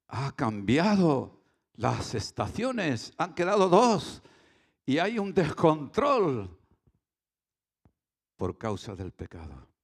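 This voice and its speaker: A man with vocal fry talks at a very slow pace with long, frequent pauses and very wide pitch swings, on a very clean recording with a silent background. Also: fairly high pitch for a man. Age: 70s. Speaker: pastor. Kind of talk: sermon.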